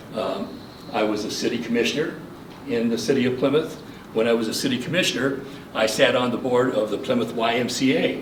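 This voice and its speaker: With a Midwestern US accent, a man speaks at a fairly quick pace in a medium pitch with fairly even intonation, amid audible room echo and noticeable background noise. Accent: US Midwest. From Michigan. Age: 70s. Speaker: local election candidate. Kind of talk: campaign speech. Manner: formal.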